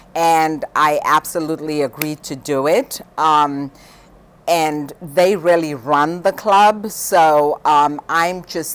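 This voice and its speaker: Very deep, low pitch from a woman, with ordinary variation in pitch. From Zimbabwe. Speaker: high school teacher. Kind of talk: interview.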